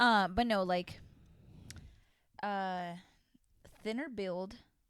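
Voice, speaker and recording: A woman's medium-pitched voice at a very slow pace, with audible room echo. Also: ordinary pitch variation. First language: Spanish. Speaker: podcast co-host. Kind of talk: casual chat.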